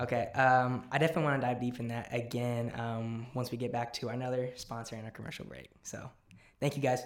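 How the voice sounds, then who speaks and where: A man talks very fast in a medium pitch, his intonation flat and monotone. His loudness swings widely. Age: 20s. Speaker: podcast host. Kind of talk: casual interview.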